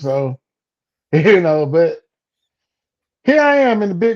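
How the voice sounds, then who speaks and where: A man's dark, mellow tone in a South Georgia accent. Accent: Southern US, South Georgia. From US South, South Georgia. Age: 40s. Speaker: comedian. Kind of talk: casual interview.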